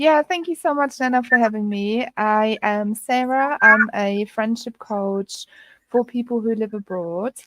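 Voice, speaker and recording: With a German accent, a woman talks at a fairly slow pace and a fairly high pitch, the sound dry and close with no echo. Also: ordinary pitch variation. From Germany. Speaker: friendship coach. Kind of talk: interview.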